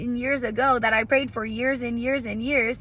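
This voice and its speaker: A woman's raised, projected voice. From New Orleans area, Louisiana. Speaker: motivational vlogger. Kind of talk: motivational monologue. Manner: loud.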